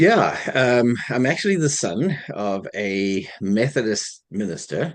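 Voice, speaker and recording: A man at medium pitch, very slow yet with hardly any pauses, his pitch swinging very widely. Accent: South African. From South Africa. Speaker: minister. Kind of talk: interview.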